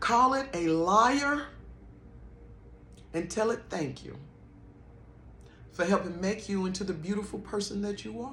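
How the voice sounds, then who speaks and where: Lively intonation broken by long, frequent pauses, with audible room echo. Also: woman, medium pitch for a woman. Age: 50s. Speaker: spiritual vlogger. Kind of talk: personal testimony and spiritual encouragement.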